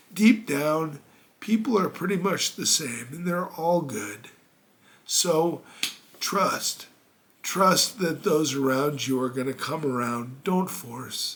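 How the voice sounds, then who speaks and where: A man speaks very slowly with a warm tone and fairly high pitch, pausing long and often. Noticeable background noise runs underneath. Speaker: motivational speaker. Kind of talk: motivational talk. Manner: casual, warm direct address.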